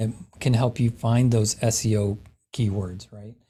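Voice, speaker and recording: The recording is very clean with a silent background. A man speaks at a medium pitch in a somewhat breathy voice with a dark, mellow tone. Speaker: real estate tech trainer. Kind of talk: lecture.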